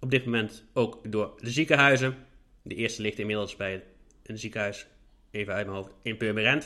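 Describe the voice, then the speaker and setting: Bright and sharp in tone, a man speaks at a moderate pace with ordinary pitch variation. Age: 30s. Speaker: podcast host with a visual impairment. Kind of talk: solo podcast monologue.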